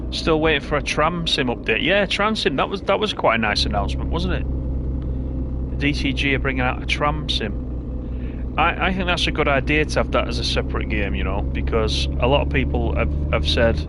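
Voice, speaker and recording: Amid noticeable background noise and audible room echo, a man with a Lancashire accent and a very deep, low pitch speaks with fairly even intonation and hardly any pauses. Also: moderate pace. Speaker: gaming streamer. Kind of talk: live gameplay commentary chatting with viewers. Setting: live stream with headset. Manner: casual, conversational.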